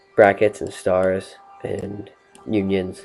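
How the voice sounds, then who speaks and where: A man talks over noticeable background noise. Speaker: student. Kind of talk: tutorial. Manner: halting.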